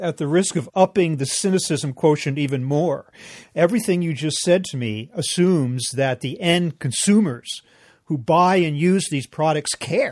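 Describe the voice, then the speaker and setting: On a very clean recording with a silent background, a man with a plain, everyday voice speaks at a moderate pace, at a fairly high pitch and with ordinary pitch variation. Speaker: podcast host. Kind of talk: interview.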